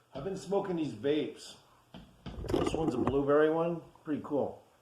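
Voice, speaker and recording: Audible room echo and noticeable background noise around a man speaking at a moderate pace. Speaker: amateur phone music maker, vlogger. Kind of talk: casual late-night vlog monologue. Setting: at home, dark room. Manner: halting, slurred at times; relaxed, rambling.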